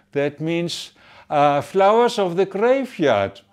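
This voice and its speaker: Against a quiet background, the voice moves at a very slow pace with very wide pitch swings. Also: man. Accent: German. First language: German. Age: 70s. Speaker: pharmacist and association chairman. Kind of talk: address to supporters. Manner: halting.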